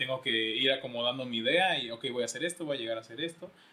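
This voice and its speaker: Noticeable background noise sits behind a man speaking at a very fast pace. His pitch is medium, with ordinary variation. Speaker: podcast co-host. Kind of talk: casual chat. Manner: halting.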